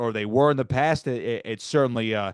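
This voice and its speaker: A man with a New Jersey accent and fairly even intonation, against a quiet background. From South Jersey near Atlantic City. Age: 20s. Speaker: sports broadcaster. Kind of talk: podcast interview. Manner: fast.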